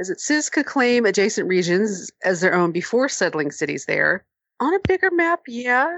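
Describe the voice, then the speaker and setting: At a moderate pace, a woman with a fairly high pitch speaks with very wide pitch swings. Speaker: podcast panelist. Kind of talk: casual chat.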